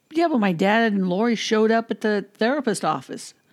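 Using lively intonation, a woman with a normal speaking voice talks in an American accent. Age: 60s. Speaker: podcaster, former radio DJ. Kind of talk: casual chat.

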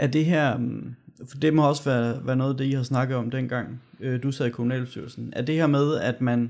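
Speaking at a moderate pace, a man uses a medium pitch and a dark, mellow tone with monotone, flat intonation. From Denmark, Gørlev. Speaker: podcast host, local election candidate. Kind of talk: casual podcast chat. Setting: studio.

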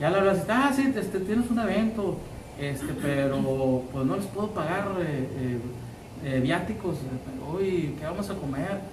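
Through audible room echo and noticeable background noise, a man talks at a fairly slow pace and high pitch with very wide pitch swings. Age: 50s. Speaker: radio host and musician. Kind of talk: casual interview chat. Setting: live stream from a restaurant.

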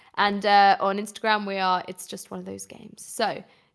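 The woman speaks in a British accent. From England. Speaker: gaming podcast co-host. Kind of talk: casual chat. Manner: animated.

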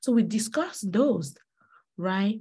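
The tone is dark and mellow, somewhat breathy, with ordinary pitch variation. The recording is very clean, its background silent. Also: woman. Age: 40s. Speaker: podcast host. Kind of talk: solo podcast monologue. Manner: frequent fillers and hesitations.

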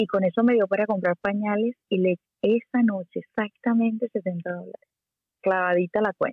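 Fairly even intonation at a moderate pace, with a Venezuelan accent. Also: woman, medium pitch for a woman. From Venezuela, Puerto La Cruz. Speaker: singer-songwriter. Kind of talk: interview.

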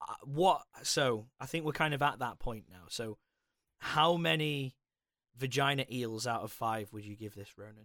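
A man talks at a fairly slow pace with a medium pitch and lively intonation. His tone is bright and sharp, and his loudness swings a lot. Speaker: podcast host. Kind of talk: casual chat.

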